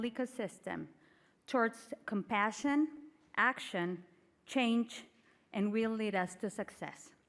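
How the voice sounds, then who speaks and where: Speaking with a Spanish accent, the woman has a fairly high pitch and ordinary pitch variation. Her pace is fairly slow. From Mexico. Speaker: panel moderator, food bank network executive. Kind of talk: conference panel moderation.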